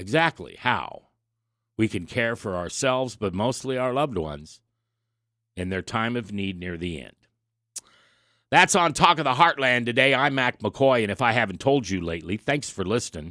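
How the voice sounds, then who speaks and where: A man with an American accent speaks at a moderate pace in a medium pitch, his bright, sharp tone moving through very wide pitch swings and big shifts in loudness, with long, frequent pauses on a very clean recording against a silent background. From US Midwest, Nebraska. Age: 60s. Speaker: radio talk show host. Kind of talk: radio talk monologue.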